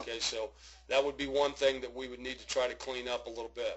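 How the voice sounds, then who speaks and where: At a middling speed, a man talks in an ordinary speaking voice, his pitch rising and falling in a normal way. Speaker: baseball hitting coach. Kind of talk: video swing analysis for a young player. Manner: casual, instructive.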